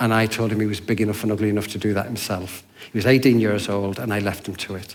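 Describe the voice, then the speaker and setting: Over audible room echo, a man speaks at a fairly quick pace and a medium pitch. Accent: English. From Yorkshire, England. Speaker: hostel worker. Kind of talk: church talk.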